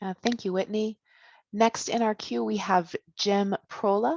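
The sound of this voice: A woman speaks at a fairly slow pace with a medium pitch, fairly even intonation, and vocal fry. Her tone is slightly mellow, and the sound is dry and close with no echo.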